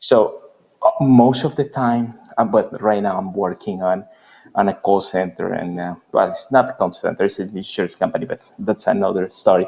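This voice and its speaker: Speaking at a moderate pace, a man talks with a Spanish accent. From Mexico. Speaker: interviewer. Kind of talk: interview. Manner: halting.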